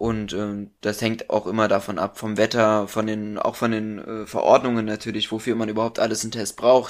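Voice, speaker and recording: In a very clean recording with a silent background, a man with a fairly low voice speaks at a moderate pace in a flat monotone, with hardly any pauses. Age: 20s. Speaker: charity chairman. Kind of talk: casual chat. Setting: at home.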